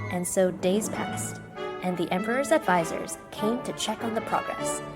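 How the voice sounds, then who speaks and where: A woman speaks at a moderate pace with an American accent. Music plays in the background. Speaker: storyteller. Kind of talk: children's bedtime story reading.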